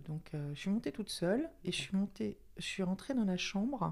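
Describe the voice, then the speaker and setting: A woman talks at a moderate pace with lively intonation. Her voice is somewhat breathy. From Paris region, France. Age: 60s. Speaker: retiree podcast guest. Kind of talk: personal testimony interview. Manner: halting, many hesitations.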